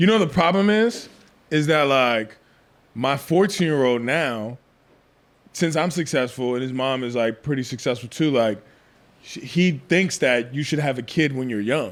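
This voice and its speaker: The speaker's intonation is lively at a moderate pace, broken by long, frequent pauses. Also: man, fairly high pitch for a man. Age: 30s. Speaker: realtor and podcast host. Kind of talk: casual chat. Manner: casual, slangy.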